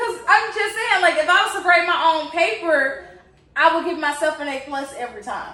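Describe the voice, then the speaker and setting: Her voice raised and projected, a woman speaks at an extremely high pitch with lively intonation and big swings in loudness, with audible room echo. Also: moderate pace. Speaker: co-host, daughter. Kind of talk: casual chat.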